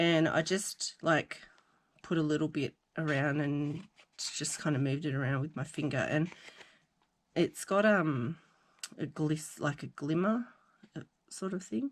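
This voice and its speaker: A woman with an Australian accent and a very deep, low pitch, at a fairly slow pace with long, frequent pauses and ordinary pitch variation, on a very clean recording with a silent background. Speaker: crafting vlogger. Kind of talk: casual chat. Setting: at home craft desk.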